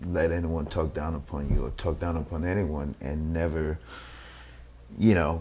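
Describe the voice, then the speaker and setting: A man speaks with a very deep, low pitch and ordinary pitch variation. Background noise is noticeable. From Nigeria. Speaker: actor. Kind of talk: interview. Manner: halting, many fillers and repeats.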